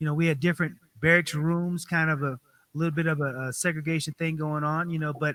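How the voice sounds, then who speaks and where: At a very fast pace, a man speaks in a fairly high pitch with a bright, sharp tone. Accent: American. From Colorado, Denver. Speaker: political candidate and military veteran. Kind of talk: interview.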